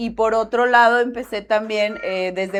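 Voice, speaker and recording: Her tone is bright and sharp. This woman speaks at a fairly high pitch with ordinary pitch variation. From Mexico, Michoacán. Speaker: graphic designer, branding. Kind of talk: podcast interview.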